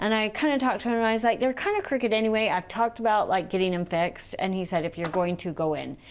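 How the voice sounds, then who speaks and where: Talking very fast with hardly any pauses, a woman uses a fairly high pitch, ordinary pitch variation and an animated tone. Noticeable background noise runs underneath. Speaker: TV talk show co-host. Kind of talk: casual chat.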